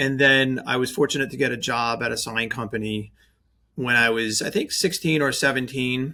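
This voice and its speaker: A man's medium-pitched voice, bright and sharp in tone, with a slight New York accent, a moderate pace and ordinary pitch variation. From New York, Staten Island. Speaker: branding agency owner, designer. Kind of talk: podcast interview.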